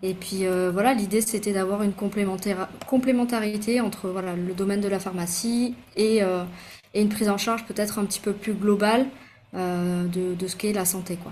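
A woman speaks at a moderate pace with a medium pitch. Her voice is somewhat breathy, and her intonation fairly even. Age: 30s. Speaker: pharmacist and micronutritionist. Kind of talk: interview. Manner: hesitant with fillers.

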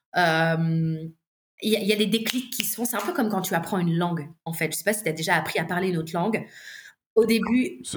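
Somewhat breathy, a woman is speaking. Her pace is fairly quick. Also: medium pitch for a woman, ordinary pitch variation. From southern France, La Ciotat. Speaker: singer and vocal coach. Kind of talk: casual interview chat.

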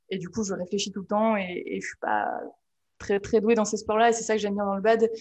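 Medium-pitched woman's voice, monotone and flat in intonation. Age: 20s. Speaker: social media manager. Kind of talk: interview.

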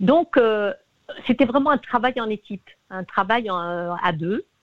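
A woman speaks with lively intonation. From Tunisia. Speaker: singer-songwriter. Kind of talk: interview. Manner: halting.

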